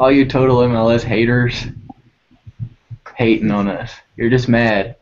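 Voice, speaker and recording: With a Texan accent, a man speaks at a moderate pace in a monotone, flat intonation. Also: medium pitch for a man. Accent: Texan twang with y'alls and fixin' tos. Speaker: soccer podcast host. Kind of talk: casual panel chat.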